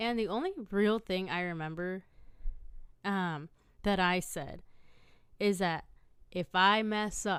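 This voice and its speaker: A woman with a medium-pitched voice speaks at a very slow pace, leaving long, frequent pauses, with fairly even intonation. The recording is very clean with a silent background. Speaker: podcast host. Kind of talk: casual storytelling monologue. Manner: conversational with frequent fillers and restarts.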